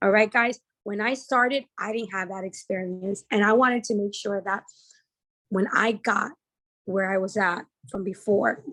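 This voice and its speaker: A woman with a New Jersey accent, a medium pitch and a bright, sharp tone, at a moderate pace with long, frequent pauses. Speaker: trading educator. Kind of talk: sales pitch. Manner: animated.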